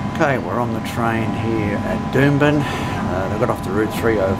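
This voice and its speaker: Over background music, a man talks at a fairly slow pace. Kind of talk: casual vlog commentary. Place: train. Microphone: phone near.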